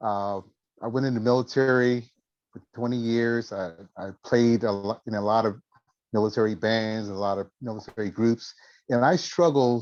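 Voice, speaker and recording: At a moderate pace, a man speaks at medium pitch in a normal speaking voice. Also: fairly even intonation. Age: 60s. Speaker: military veteran guitarist. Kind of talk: testimony. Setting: video call.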